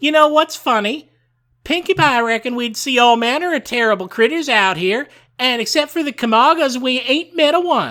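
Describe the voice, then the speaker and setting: A man uses a put-on character voice at an extremely high pitch. The recording is very clean with a silent background. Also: moderate pace. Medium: read story.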